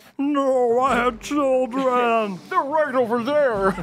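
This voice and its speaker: A put-on character voice, female-sounding and high in pitch, comes out croaky. It moves at a very slow pace over clear background noise. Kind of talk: comic overacting. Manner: wailing, melodramatic, pleading.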